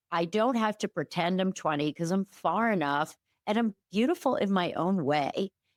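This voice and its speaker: A woman talks at a medium pitch and a moderate pace with lively intonation and very even loudness, an unremarkable speaking voice. The recording is very clean and dry, close with no echo and a silent background. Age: 60s. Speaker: OB-GYN and sex counselor, author. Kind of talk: casual chat. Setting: podcast interview.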